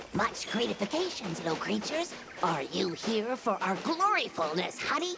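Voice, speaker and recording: A cartoonish character voice, fairly high in pitch with very wide pitch swings, moves at a moderate pace over clear background noise. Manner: quaint broken grammar, chirpy.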